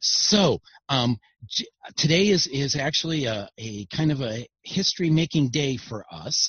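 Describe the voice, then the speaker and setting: A man's plain, everyday voice, fairly high in pitch, with lively intonation at a fairly slow pace. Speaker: show host. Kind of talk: casual chat.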